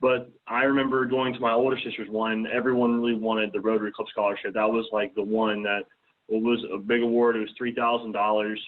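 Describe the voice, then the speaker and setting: At a fairly quick pace, a man with a medium-pitched voice speaks in a monotone, flat intonation. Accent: American. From US South, south Mississippi. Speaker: student, scholarship recipient. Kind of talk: talk to a club.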